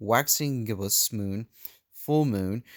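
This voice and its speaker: Dry and close with no echo, this very clean recording over a silent background features a man at medium pitch. His pitch varies in an ordinary way. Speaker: religious video maker. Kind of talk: teaching video. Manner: halting, speech difficulty; hesitant with fillers.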